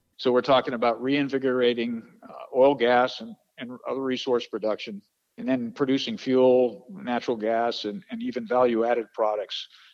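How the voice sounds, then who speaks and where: Big swings in loudness, with a moderate pace and ordinary pitch variation. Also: man, medium pitch for a man. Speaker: political candidate, retired Air Force general. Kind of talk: interview soundbite. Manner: hesitant, filler-heavy.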